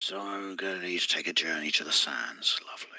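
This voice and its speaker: A man's put-on character voice, whispered at a fairly quick pace. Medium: actual play. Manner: smooth, wry.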